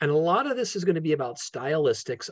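A somewhat breathy male voice with ordinary pitch variation over a quiet background. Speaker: law professor giving a webinar talk. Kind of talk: lecture. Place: home room. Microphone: video call.

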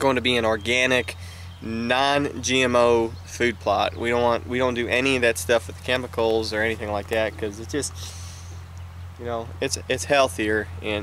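Over light background noise, a man speaks at a moderate pace with ordinary pitch variation in a dry sound with no echo. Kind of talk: casual vlog chat. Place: open country.

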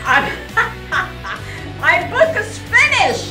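Clear music plays behind a woman who is talking. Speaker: motorcyclist and author. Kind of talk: casual announcement to camera. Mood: cheerful, proud. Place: shop. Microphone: phone near.

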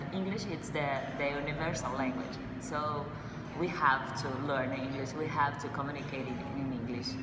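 The speaker has a Brazilian accent. Background noise is loud. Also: woman, moderate pace. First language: Portuguese. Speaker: language school student. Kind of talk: testimonial. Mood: cheerful, enthusiastic. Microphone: phone near.

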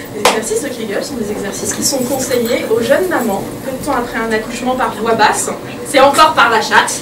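A woman at a fairly quick pace over loud background noise. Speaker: comedian. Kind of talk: stand-up comedy. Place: stage. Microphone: camera far.

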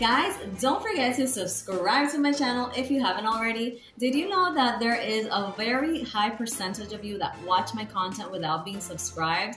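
With clear music in the background, a woman talks with hardly any pauses. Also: moderate pace. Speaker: vlogger. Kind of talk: casual vlog chat. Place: home room. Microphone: lapel.

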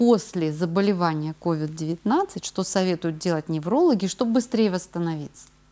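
An unremarkable speaking voice moves at a fairly slow pace. Its intonation is lively. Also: woman. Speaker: TV presenter. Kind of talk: live TV health call-in show. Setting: TV studio. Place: studio.

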